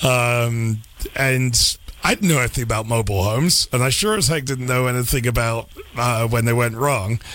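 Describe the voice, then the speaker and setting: A man with an American accent speaks at a moderate pace and medium pitch, with ordinary pitch variation, very even loudness and noticeable background noise. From England. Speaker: radio host. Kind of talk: radio interview.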